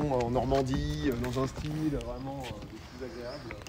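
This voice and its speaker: Amid audible room echo and noticeable background noise, a man talks at a medium pitch with ordinary pitch variation. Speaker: streamer. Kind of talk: live stream tour, casual chat. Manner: fast; animated.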